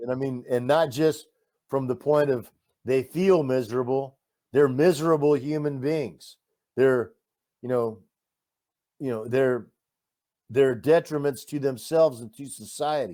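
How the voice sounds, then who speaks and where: A man with a Texan accent, medium pitch, and a dark, mellow tone, at a fairly slow pace with ordinary pitch variation, big swings in loudness, and long, frequent pauses. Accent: Texan American. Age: 60s. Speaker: war volunteer. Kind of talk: interview. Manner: animated.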